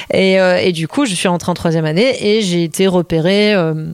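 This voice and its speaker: A woman with a normal speaking voice keeps a moderate pace, her fairly low pitch carrying fairly even intonation. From Belgium. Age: 30s. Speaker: choreographer. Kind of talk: interview. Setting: at host's home.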